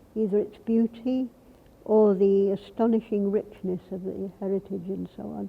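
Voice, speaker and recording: A woman speaks at a moderate pace and medium pitch in a flat, monotone delivery, her loudness swinging widely. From London, England. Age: 80s+. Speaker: author. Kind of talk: interview testimony.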